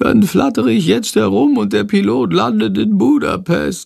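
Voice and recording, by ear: Using a put-on character voice of medium pitch, a man speaks at a moderate pace with very wide pitch swings.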